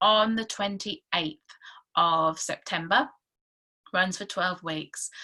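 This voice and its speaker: A woman with a medium-pitched, bright, sharp voice speaks at a fairly slow pace with ordinary pitch variation. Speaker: parenting coach. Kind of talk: sales pitch. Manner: halting, many fillers.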